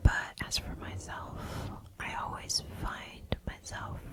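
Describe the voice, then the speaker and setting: A whispering voice with a gentle tone comes through noticeable background noise. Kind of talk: ASMR affirmations, casual talk to camera. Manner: soft-spoken, gentle, personal.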